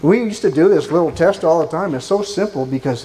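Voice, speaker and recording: He speaks fairly quickly, with noticeable noise behind him. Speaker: agricultural sales speaker. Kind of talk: conference presentation. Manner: fast.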